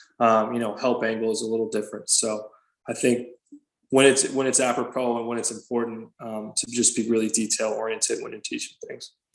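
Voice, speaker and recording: Flat and monotone, a man at medium pitch speaks at a fairly quick pace. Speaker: basketball head coach. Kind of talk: interview. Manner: halting, many fillers.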